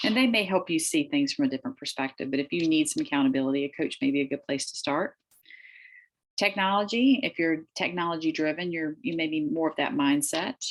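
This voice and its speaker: A woman's fairly low pitch with very wide pitch swings, at a very fast pace. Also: very clean recording, silent background. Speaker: real estate agent trainer. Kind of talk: training class.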